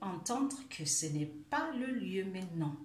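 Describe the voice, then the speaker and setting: In audible room echo, a woman speaks at medium pitch in a somewhat breathy voice. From Germany. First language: German (speaking French). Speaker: life coach. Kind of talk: video monologue, self-help talk. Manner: halting, many hesitations.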